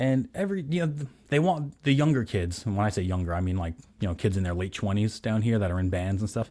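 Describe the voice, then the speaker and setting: On a very clean recording with a silent background, a man with a New York accent talks very fast in a dark, mellow tone at a fairly low pitch. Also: lively intonation. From New York, Staten Island. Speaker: guitar gear video host. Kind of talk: casual chat.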